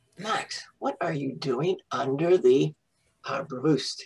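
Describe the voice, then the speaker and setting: Someone performs a put-on character voice at a middle pitch. The delivery is very slow. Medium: read story. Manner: gentle, encouraging.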